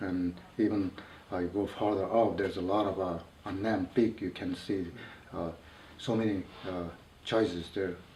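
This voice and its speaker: Long, frequent pauses break up a man's very deep, low voice. He sounds somewhat breathy, with monotone, flat intonation. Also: moderate pace. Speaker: mountaineer. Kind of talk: interview. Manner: halting.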